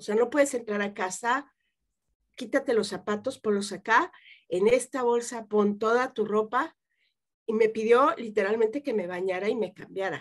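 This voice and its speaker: A woman speaks in an unremarkable speaking voice, fairly high in pitch, with ordinary pitch variation at a moderate pace. The background is quiet. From Mexico City. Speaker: psychotherapist; guest. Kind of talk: interview. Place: home room. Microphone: webcam.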